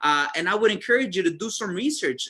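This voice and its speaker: A man speaks in a raised, projected voice with a bright, sharp tone and very wide pitch swings. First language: Spanish. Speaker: network marketing distributor. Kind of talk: sales presentation. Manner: hesitant, many fillers.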